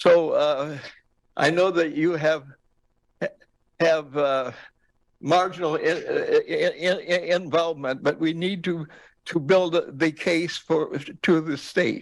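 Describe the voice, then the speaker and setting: A high-pitched man at a very slow pace, with fairly even intonation and long, frequent pauses. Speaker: senior tenant, public commenter. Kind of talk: public testimony. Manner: halting.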